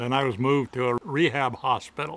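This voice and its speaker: A man's slowish delivery at a fairly slow pace with a Midwestern US accent and fairly even intonation. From Michigan. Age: 70s. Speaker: amputee patient. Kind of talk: testimony.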